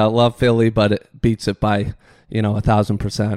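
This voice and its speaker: A fairly low-pitched man in an Upper Midwest accent, with monotone, flat intonation, dry, close sound with no echo, and a very clean recording with a silent background. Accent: Upper Midwest American. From Michigan. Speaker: golf course superintendent. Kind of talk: casual interview. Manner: halting, frequent fillers and repeats.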